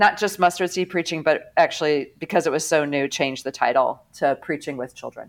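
A woman in an American accent talks at a fairly quick pace with hardly any pauses. Her pitch is very deep and low. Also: ordinary pitch variation, very clean recording, silent background. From US Midwest, St. Louis area. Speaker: theology professor and catechist. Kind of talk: interview.

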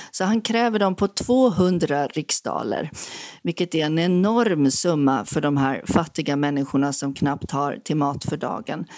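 Her pitch is very deep and low, with lively intonation. The woman speaks at a very slow pace. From Sweden. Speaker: author. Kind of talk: interview.

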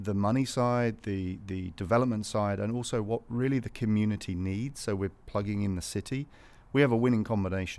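The voice has a British accent and ordinary pitch variation. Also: man. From England, north of London. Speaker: business founder. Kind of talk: casual interview chat. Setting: studio.

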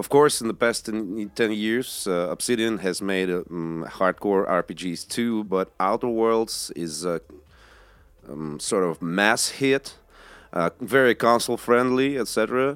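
A man with a Russian accent speaks very slowly at a fairly low pitch in a very clean recording with a silent background. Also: ordinary pitch variation. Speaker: podcast host. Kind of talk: casual chat. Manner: halting.

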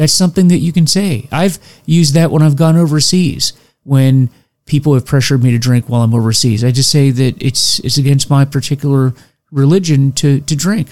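An ordinary speaking voice at a fairly quick pace. Loudness stays very even, with ordinary pitch variation. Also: man, fairly high pitch for a man. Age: 50s. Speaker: recovery podcast host. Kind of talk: solo educational talk.

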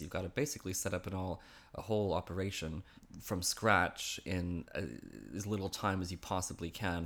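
At a fairly quick pace, a man with a very deep, low voice and a Canadian accent speaks over a silent background in a very clean recording. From western Canada (Vancouver area). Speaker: humanitarian aid communications manager. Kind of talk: casual interview. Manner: hesitant, many fillers.

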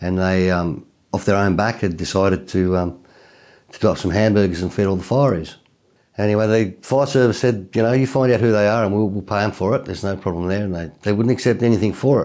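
This man's voice is pitched fairly low, with ordinary pitch variation. He talks at a very fast pace. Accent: Australian. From Tasmania, Australia. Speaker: country singer and volunteer firefighter. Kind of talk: casual interview chat. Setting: studio. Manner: hesitant with frequent fillers.

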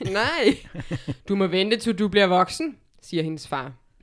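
A natural reading voice rises and falls with ordinary pitch variation.

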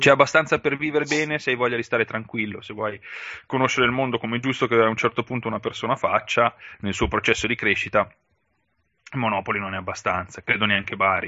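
A man talks at a very fast pace. His speech has long, frequent pauses. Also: medium pitch for a man, ordinary pitch variation. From northern Italy, Valtellina (Sondrio). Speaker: podcast co-host and blogger who relocated for work. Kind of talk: casual interview chat.

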